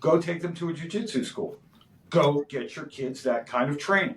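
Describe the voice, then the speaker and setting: In a normal speaking voice, this man keeps to a moderate pace. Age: 50s. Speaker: martial arts instructor. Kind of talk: podcast interview. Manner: casual, filler-heavy.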